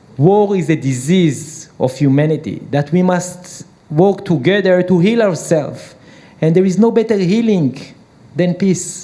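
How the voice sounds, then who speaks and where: Over noticeable background noise, a man with an Israeli accent speaks at a fairly slow pace in a high pitch, keeping ordinary pitch variation and very even loudness. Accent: Hebrew. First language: Hebrew. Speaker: peace activist and entrepreneur. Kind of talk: panel discussion. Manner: hesitant.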